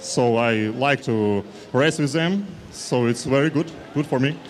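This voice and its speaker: A man's medium-pitched voice with a non-native accent, fairly slow, against noticeable background noise. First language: not English. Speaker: athlete. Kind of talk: interview. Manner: halting.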